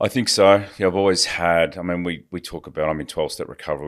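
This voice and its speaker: In an Australian accent, a man speaks with ordinary pitch variation on a very clean recording with a silent background. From Australia, rural Victoria. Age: 50s. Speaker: recovering addict. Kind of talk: interview.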